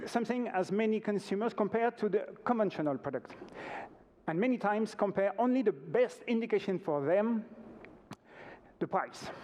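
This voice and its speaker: In a French accent, the speaker goes at a moderate pace with ordinary pitch variation and long, frequent pauses. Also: man, high pitch for a man. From France. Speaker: organic retail company representative. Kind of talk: conference presentation. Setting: stage with audience. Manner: halting.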